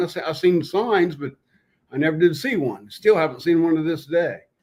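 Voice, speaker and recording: The speaker has a southern Ohio accent and talks at a moderate pace. The pitch varies in an ordinary way. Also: man. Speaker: Bigfoot hunter, military veteran. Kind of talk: casual chat. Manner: halting, many fillers.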